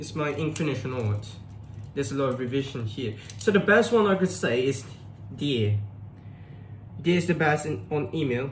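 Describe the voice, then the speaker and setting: Taking long, frequent pauses at a moderate pace, a man speaks in a fairly high, somewhat breathy voice with very wide pitch swings and audible room echo. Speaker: tutor. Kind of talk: tutorial. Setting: live stream.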